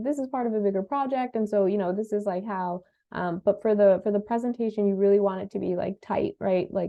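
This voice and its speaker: Her medium-pitched voice runs at a very fast pace. This woman leaves hardly any pauses. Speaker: conference panelist giving advice. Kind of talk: panel discussion answering questions. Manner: speeds up when excited.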